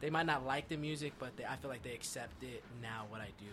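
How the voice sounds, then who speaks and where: Here is a man with an ordinary speaking voice and an American accent. He talks at a fairly quick pace with ordinary pitch variation. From Eastern Pennsylvania, US. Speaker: rapper and singer. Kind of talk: casual interview chat.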